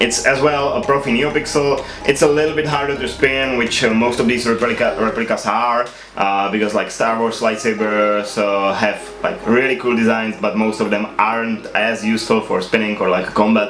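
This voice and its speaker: Over music in the background and audible room echo, a man with a non-native accent speaks at medium pitch and a moderate pace, with ordinary pitch variation and very even loudness. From Czech Republic. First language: not English. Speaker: YouTuber, lightsaber spinner. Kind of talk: casual show-and-tell video. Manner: hesitant, many uh fillers.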